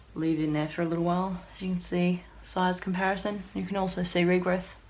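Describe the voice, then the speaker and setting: A woman with an Australian accent and a fairly low pitch at a very fast pace, with audible room echo. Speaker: hairdresser. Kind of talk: product review tutorial. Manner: animated.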